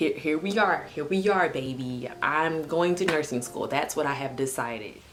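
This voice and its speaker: Amid noticeable background noise and audible room echo, a woman with an American accent and a very deep, low pitch speaks at a moderate pace. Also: ordinary pitch variation. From Texas, Houston. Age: 20s. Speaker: vlogger. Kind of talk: casual vlog monologue. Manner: casual, conversational.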